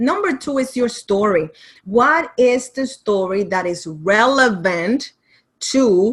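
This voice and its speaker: Speaking very slowly with a Caribbean accent, a woman uses a fairly high pitch and lively intonation. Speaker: writing and business coach. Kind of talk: online masterclass presentation. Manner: animated.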